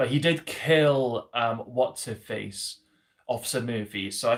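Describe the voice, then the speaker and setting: In a Welsh accent, a man speaks at a moderate pace and medium pitch, somewhat breathy, with ordinary pitch variation. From South Wales, Swansea. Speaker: YouTuber answering fan questions. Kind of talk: live stream Q&A. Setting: live stream. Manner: hesitant, many fillers.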